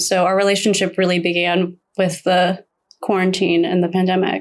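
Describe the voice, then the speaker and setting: A woman's medium-pitched voice at a moderate pace. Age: 30s. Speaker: guest friend. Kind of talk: casual interview chat.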